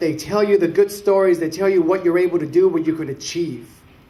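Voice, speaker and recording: The speaker has a Spanish accent and a moderate pace. Pitch varies in an ordinary way. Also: man. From Mexico, then Richmond, California from age 8. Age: 30s. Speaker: city council candidate. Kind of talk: public speech. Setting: symposium audience.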